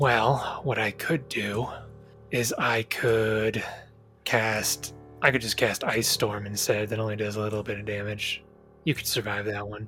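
A man speaks at a moderate pace in a raspy, put-on character voice of medium pitch, with clear music playing behind him. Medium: actual play. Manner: casual, laid-back, businesslike.

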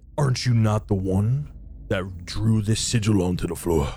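Against clear background noise, a man uses a put-on character voice at a fairly low pitch. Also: moderate pace.

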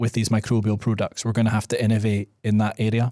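A dark, mellow tone in a Scottish accent, on a very clean recording with a silent background. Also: man. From Scotland. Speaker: podcast host. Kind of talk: casual chat.

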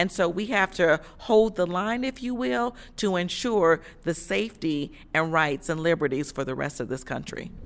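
Her fairly low pitch swinging very widely, a woman speaks. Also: moderate pace. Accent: American. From US Midwest, Chicago. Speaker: labor organization director. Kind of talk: interview. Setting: conference sidelines. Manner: halting, many fillers.

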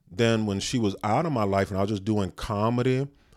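Here a man talks at a moderate pace in a fairly low pitch. His pitch varies in an ordinary way. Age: 40s. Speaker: comedian, podcast co-host. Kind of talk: casual chat.

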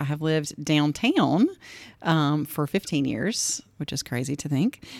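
In a very clean recording with a silent background, a woman with a Southern US accent speaks in a very deep, low pitch. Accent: US South. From Greensboro, Georgia. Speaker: physical therapist. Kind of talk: casual chat.

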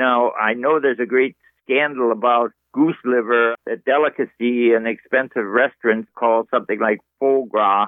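An ordinary speaking voice moves at a moderate pace with fairly even intonation and very even loudness. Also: man, medium pitch for a man. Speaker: caller. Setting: phone call.

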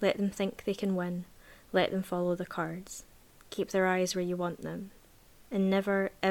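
Reading voice, natural in tone

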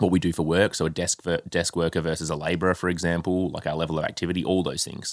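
An Australian-accented man at a very fast pace, very deep and low in pitch, hardly any pauses, on a very clean recording with a silent background. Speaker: health coach and podcast co-host. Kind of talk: casual chat. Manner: animated.

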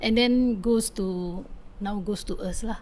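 A woman's somewhat breathy, fairly high-pitched voice with an Indonesian accent. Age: 30s. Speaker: community advocate. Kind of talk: interview. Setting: outdoors on home patio. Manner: halting.

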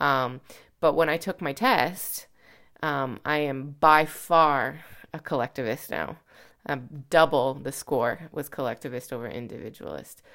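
A woman with a Canadian accent speaks at a fairly slow pace with a very deep, low pitch and ordinary pitch variation. Her loudness swings widely on a very clean recording with a silent background. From Canada. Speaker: missionary and podcast co-host. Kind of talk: casual chat. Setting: quarantine house in Canada.

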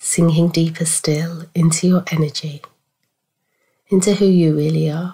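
A dark, mellow, somewhat breathy tone with monotone, flat intonation, a fairly slow pace and long, frequent pauses. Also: woman, fairly low pitch for a woman. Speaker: spiritual coach. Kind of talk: guided meditation, soothing and unhurried, with long pauses between gentle instructions. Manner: soft-spoken, calm and reassuring.

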